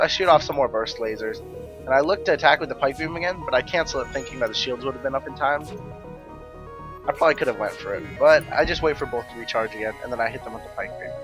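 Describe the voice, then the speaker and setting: A man speaking at a very fast pace over music in the background. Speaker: gaming YouTuber. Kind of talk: let's play commentary.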